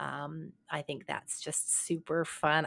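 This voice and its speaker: The recording is very clean, with a silent background. A woman speaks in a bright, sharp tone. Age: 60s. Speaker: podcast host and leadership consultant. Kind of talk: casual chat.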